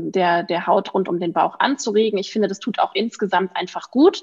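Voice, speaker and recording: A woman speaks in a plain, everyday voice at a medium pitch. Her pace is moderate and her pitch variation ordinary. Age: 30s. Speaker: physician and natural cosmetics founder. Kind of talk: podcast interview.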